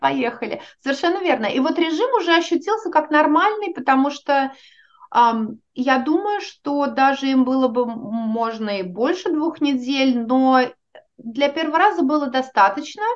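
The intonation is lively. The pace is fairly slow. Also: woman, high pitch for a woman. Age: 40s. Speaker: organizational psychologist. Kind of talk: interview.

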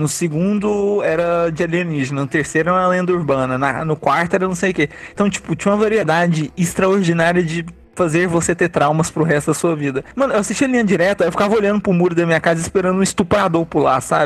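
This man's high-pitched voice races at a very fast pace with hardly any pauses, very even loudness, and ordinary pitch variation. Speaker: podcast host. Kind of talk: casual chat. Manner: animated.

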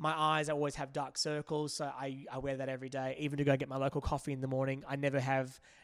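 In an Australian accent, a man speaks at a very fast pace with monotone, flat intonation. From Perth, Western Australia. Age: 30s. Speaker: makeup artist. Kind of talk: casual chat.

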